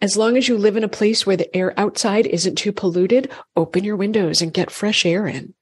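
In an American accent, a woman with an unremarkable speaking voice talks at a fairly quick pace with ordinary pitch variation. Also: medium pitch for a woman. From Massachusetts. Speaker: functional medicine gynecologist. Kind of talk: interview.

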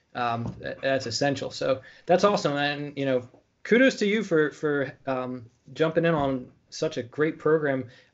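A man's fairly high-pitched voice against a quiet background. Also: ordinary pitch variation, moderate pace. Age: 30s. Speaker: podcast host and educator; podcast host, educator. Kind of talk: interview. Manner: halting. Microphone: webcam.

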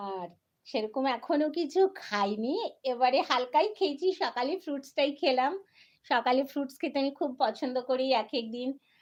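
Lively intonation from a woman with a high pitch. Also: quiet background. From West Bengal, Kharagpur. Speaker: YouTube creator and poet. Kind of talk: casual live-stream chat. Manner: animated.

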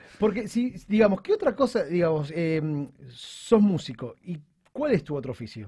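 A man's high-pitched, dark, mellow voice with very wide pitch swings at a moderate pace, against a quiet background. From Argentina. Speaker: radio host. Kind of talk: radio interview. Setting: radio studio. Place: studio. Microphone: studio mic.

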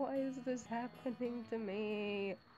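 Quiet and mumbling, a woman speaks in a fairly high pitch with fairly even intonation over music in the background. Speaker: vlogger. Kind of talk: casual talk to camera. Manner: mumbling, quiet.

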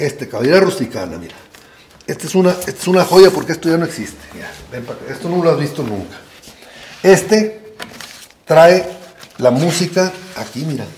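A high-pitched man at a moderate pace, with long, frequent pauses, big swings in loudness and noticeable background noise. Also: ordinary pitch variation. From rural Mexico. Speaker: photographer. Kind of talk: casual chat. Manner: halting.

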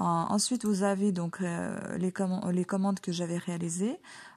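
The tone is dark, mellow and somewhat breathy, with fairly even intonation. The pace is fairly slow against a quiet background. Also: woman. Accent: Ukrainian. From Ukraine. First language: Ukrainian (speaking French). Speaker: online shop owner and beauty vlogger. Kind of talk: product presentation tutorial. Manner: hesitant, many fillers.

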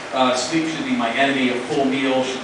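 Strong room echo and noticeable background noise surround a man speaking at medium pitch. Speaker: spoken word performer. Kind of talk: live spoken word performance to an audience. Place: stage. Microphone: pa.

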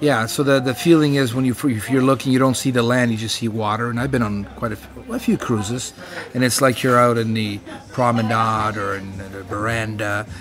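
Faint music plays behind a man who talks fairly quickly with fairly even intonation. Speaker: travel vlogger. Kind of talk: casual vlog chat. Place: bar. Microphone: phone near.

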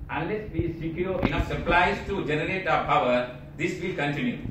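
Audible room echo and noticeable background noise surround a man speaking at a moderate pace in a high pitch. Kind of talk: press statement. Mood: serious, regretful. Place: office.

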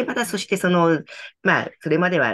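A woman speaks at a fairly quick pace. Her pitch is fairly low. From Tokyo, Japan. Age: 60s. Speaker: company founder and author, decluttering consultant. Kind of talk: interview, reflective talk. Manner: calm, gentle, warm, thoughtful with fillers. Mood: warm, earnest. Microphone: video call.

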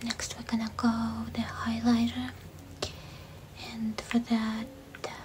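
A soft-spoken woman talks at a fairly slow pace with big swings in loudness. Noticeable background noise is present. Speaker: makeup tutorial host. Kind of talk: tutorial. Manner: soft, hushed ASMR voice. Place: home room.

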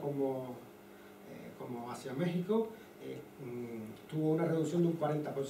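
A man's fairly high voice at a moderate pace, with audible room echo and light background noise. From Cuba, Havana. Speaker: physics professor and researcher. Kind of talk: lecture. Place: classroom.

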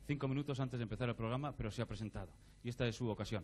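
There is light background noise as a man speaks. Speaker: TV show host. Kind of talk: presenter announcement. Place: studio. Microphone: handheld.

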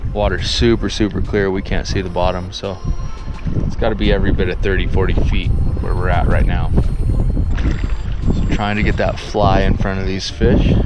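Music plays in the background as the voice moves at a fairly slow pace in a dry sound with no echo. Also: man. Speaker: fly fisherman vlogger. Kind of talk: casual vlog chat. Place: waterside. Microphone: phone near.

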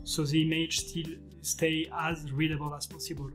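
Music plays behind a man as he talks. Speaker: digital artist instructor. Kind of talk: tutorial.

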